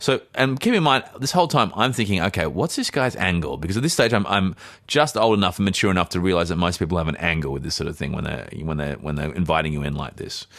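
With an Australian accent, a man talks at a very fast pace in a very deep, low pitch, using very wide pitch swings and hardly any pauses. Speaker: podcast co-host and actor. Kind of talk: casual chat, storytelling.

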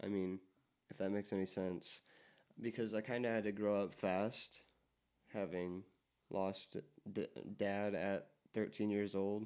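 Speaking at a fairly slow pace with long, frequent pauses, a man holds a monotone, flat intonation at a fairly low pitch. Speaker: podcast host. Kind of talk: casual chat. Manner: stutters and stumbles over words.

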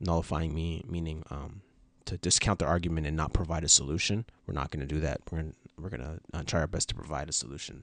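Talking at a very fast pace, a man shows vocal fry and ordinary pitch variation. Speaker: podcast co-host. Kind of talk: casual conversation. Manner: halting, filler words.

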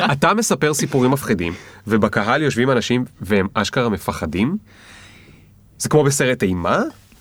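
Speaking at a medium pitch and a moderate pace, a man swings his pitch very widely and leaves long, frequent pauses. The recording is very clean, with a silent background. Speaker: podcast host. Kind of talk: interview. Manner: stutters at times.

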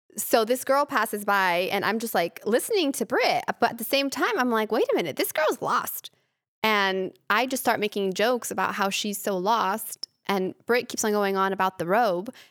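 A woman with a plain, everyday voice speaks at a fairly high pitch and a moderate pace. Her intonation is lively, and the sound is dry and close with no echo. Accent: American. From Argentina and California. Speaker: podcast co-host. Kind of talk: casual chat.

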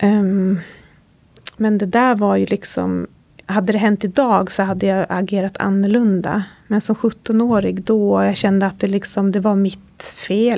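A woman speaks at a moderate pace with a medium pitch. Her intonation is monotone and flat, with very even loudness. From Sápmi, Sámi. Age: 30s. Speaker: podcast host. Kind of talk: interview; scripted intro. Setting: hotel room.

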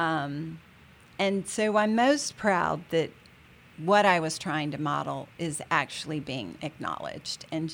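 A woman's very deep, low voice with vocal fry, ordinary pitch variation and a very slow pace, on a very clean recording with a silent background. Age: 60s. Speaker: real estate association president, managing broker. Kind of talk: interview.

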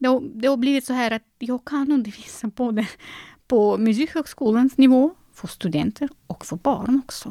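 A woman speaks at a high pitch with a dark, mellow tone and lively intonation. Her moderate pace is captured in a dry, close sound with no echo. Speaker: concert pianist and piano teacher. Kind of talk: interview. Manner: halting, frequent repetitions.

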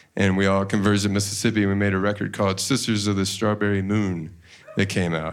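A man with a plain, everyday voice speaks at a fairly quick pace in a fairly low pitch. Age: 40s. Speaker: musician. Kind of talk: casual interview on stage. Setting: stage with audience.

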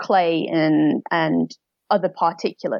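A woman with a North Welsh accent, in a dry, close sound with no echo. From North Wales. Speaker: polar scientist. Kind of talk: casual interview.

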